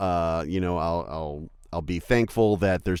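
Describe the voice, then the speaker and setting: Very deep, low male voice at a moderate pace in a very clean recording with a silent background. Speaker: voice actor. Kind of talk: interview. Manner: halting, repeats words.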